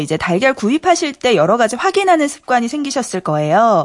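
A woman speaks at a high pitch with very wide pitch swings. There is noticeable background noise. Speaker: news reporter. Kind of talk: news segment reading. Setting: radio studio.

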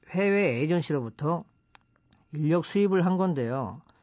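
With lively intonation, a man talks at a fairly slow pace in a plain, everyday voice pitched fairly high. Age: 40s. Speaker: company founder. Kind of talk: radio talk. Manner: formal.

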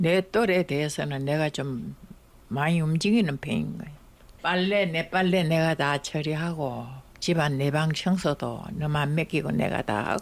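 Her pitch is very deep and low for a woman. She speaks at a fairly slow pace with ordinary pitch variation. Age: 90s. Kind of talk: recorded interview.

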